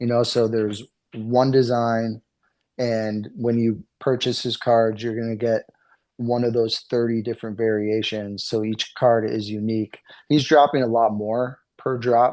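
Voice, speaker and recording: A man with a New England accent and monotone, flat intonation. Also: medium pitch for a man. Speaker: card artist. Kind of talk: interview.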